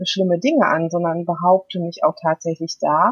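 A woman sounds somewhat breathy in a dry, close recording with no echo. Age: 50s. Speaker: food coach and mental trainer. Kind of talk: casual interview.

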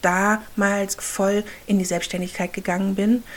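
A woman talks very slowly at a medium pitch. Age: 30s. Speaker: podcast host and handmade business owner. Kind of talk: solo podcast monologue. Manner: halting.

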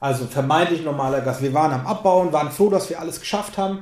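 Lively intonation marks this man's speech, heard with audible room echo. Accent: Lower Franconian. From Lower Franconia, Germany. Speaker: podcast host, musician. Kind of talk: casual interview chat.

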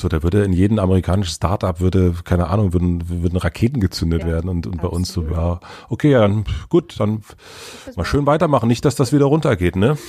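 Very fast and somewhat breathy, a man speaks at a very deep, low pitch with lively intonation and a dark, mellow tone. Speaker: podcaster. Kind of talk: interview. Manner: calm; hesitant.

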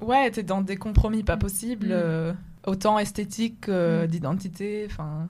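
Over noticeable background noise, a woman speaks at a fairly slow pace in a medium pitch with ordinary pitch variation. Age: 20s. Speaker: podcast co-host. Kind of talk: casual discussion.

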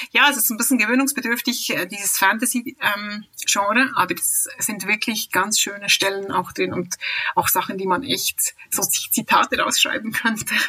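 With noticeable background noise behind her, the woman uses a fairly high pitch, ordinary pitch variation and a moderate pace. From Switzerland. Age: 40s. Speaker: avid reader, mother of three. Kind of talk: casual interview chat. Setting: remote internet call.

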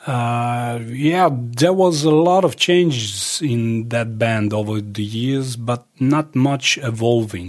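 With a Serbo-Croatian accent, a man speaks at a medium pitch and a very slow pace, with hardly any pauses. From Croatia, Dalmatia, then Serbia. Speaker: musician and filmmaker. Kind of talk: interview.

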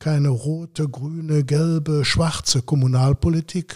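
The voice is somewhat breathy and dark, with a mellow tone and fairly even intonation. It moves at a fairly slow pace, with a dry, close sound and no echo. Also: man. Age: 60s. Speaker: local party politician. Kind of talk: interview. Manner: frequent filler hesitations.

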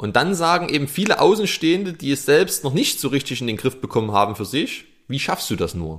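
A man talks at a fairly quick pace, at a medium pitch with big pitch swings. His tone is fairly bright.

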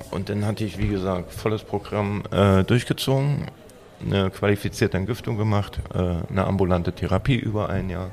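Against noticeable background noise, a man with a fairly low voice talks at a moderate pace. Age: 40s. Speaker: recovered addict, self-help member. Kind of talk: casual chat.

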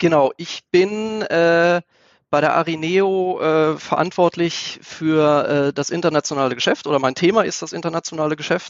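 High pitch from a man, with fairly even intonation. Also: moderate pace. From Lower Saxony, Germany (Einbeck). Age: 40s. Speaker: business executive. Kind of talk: interview. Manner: hesitant, many filler sounds.

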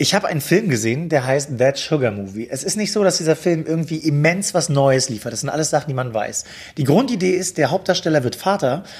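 Very fast and somewhat breathy, a man speaks with lively intonation. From Mecklenburg-Vorpommern, Germany. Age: 30s. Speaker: TV editor and talk show host. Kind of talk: casual interview.

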